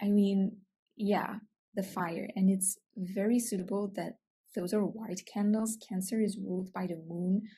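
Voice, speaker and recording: Speaking at a fairly slow pace with a Dutch accent, a woman has a medium pitch, a dark, mellow tone and monotone, flat intonation. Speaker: astrology content creator. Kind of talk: casual vlog commentary. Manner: hesitant, many fillers.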